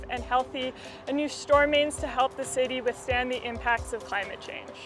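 Over clear music in the background, a woman talks at a moderate pace in a high pitch, the sound dry with no echo. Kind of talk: interview explanation. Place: street.

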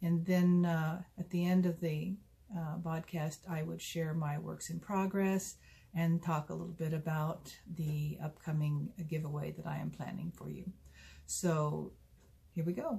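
A woman with a fairly low, somewhat breathy voice and a dark, mellow tone speaks at a fairly slow pace in a flat monotone. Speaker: knitting podcast host. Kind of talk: casual vlog chat. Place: home room. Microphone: phone near.

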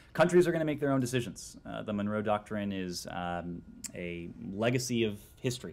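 Using lively intonation, a man with an American accent speaks at a moderate pace. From United States. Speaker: government spokesperson. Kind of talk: press briefing answer. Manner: halting, stuttering. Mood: measured, guarded. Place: hall. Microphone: podium.

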